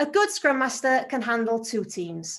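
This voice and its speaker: A woman's high-pitched, lively voice with a Welsh accent at a moderate pace. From North Wales, Anglesey. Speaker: agile team lead. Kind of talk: conference talk.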